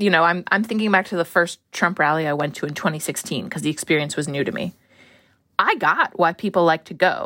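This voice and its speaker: With an American accent, a woman speaks at a fairly low pitch and a fairly quick pace in a bright, sharp tone, with ordinary pitch variation, on a very clean recording with a silent background. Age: 30s. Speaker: journalist. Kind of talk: casual chat.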